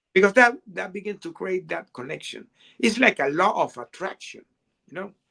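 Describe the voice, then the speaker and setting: A man's raised, projected voice, high in pitch, with a bright, sharp tone, lively intonation, big swings in loudness, a moderate pace, and a dry, close sound with no echo. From Venezuela. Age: 60s. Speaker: author and resilience coach. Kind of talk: interview. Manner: halting, many repetitions.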